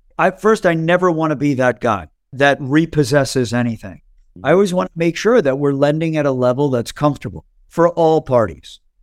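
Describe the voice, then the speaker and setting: A man with a plain, everyday voice at a fairly high pitch, lively intonation and moderate pace, in a very clean recording with a silent background and a dry, close sound with no echo. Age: 50s. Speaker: finance company CEO. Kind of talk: interview.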